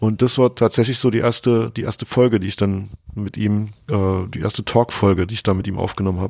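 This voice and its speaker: Fairly low in pitch, a man speaks at a fairly quick pace with fairly even intonation. He has an ordinary speaking voice. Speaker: DJ and podcaster. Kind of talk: interview. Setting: remote call from home office.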